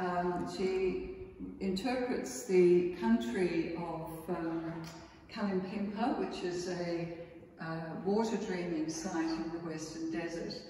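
A woman's fairly low, dark, mellow voice at a slow pace, with ordinary pitch variation and audible room echo.

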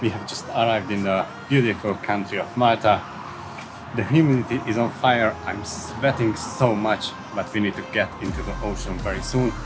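A fairly low-pitched man's voice with a non-native accent, ordinary pitch variation and a moderate pace, over noticeable background noise. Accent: non-native English speaker. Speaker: travel vlogger. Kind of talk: casual travel vlog talk to camera. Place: street. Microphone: phone near.

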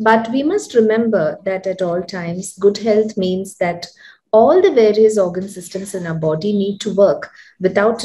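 At a moderate pace, a woman talks in a somewhat breathy voice with a dark, mellow tone and ordinary pitch variation. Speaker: doctor hosting health talk. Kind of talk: host introduction. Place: home room. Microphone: webcam.

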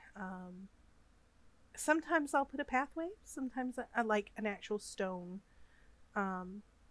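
A woman with an American accent talks at a fairly slow pace, her fairly high voice lively in intonation and broken by long, frequent pauses. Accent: Southern US, comes out when upset. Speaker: Sims gaming YouTuber. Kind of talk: gameplay voiceover commentary. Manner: halting, frequent fillers and repeats.

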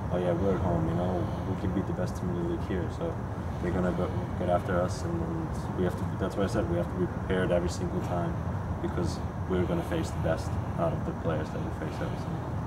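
Amid loud background noise, a man speaks at a very fast pace while taking long, frequent pauses. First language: German. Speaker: professional soccer player. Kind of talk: press conference Q&A.

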